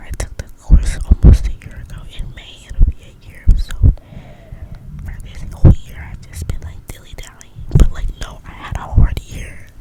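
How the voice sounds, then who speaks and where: A woman whispers with hardly any pauses, her loudness swinging widely. Noticeable background noise sits behind her. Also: fairly slow pace. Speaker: ASMR content creator. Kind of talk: casual rambling talk to camera, whispered ASMR style. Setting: recorded in bed at night at home. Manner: whispered, casual, chatty.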